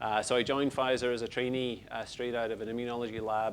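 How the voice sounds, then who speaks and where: In a Scottish accent, a man talks at a fairly quick pace with a monotone, flat intonation. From Scotland, Lockerbie (Dumfriesshire). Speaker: retired pharmaceutical executive. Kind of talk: interview.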